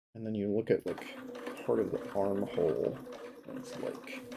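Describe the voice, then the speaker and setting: A man speaking with long, frequent pauses over noticeable background noise. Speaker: sewing livestreamer. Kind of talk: live tutorial stream.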